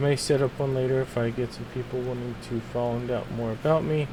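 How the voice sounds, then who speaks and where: With noticeable background noise and audible room echo, a man of medium pitch speaks at a moderate pace. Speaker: gaming streamer. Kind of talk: casual chat. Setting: live stream. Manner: hesitant, many fillers. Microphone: voice may be too quiet on mic.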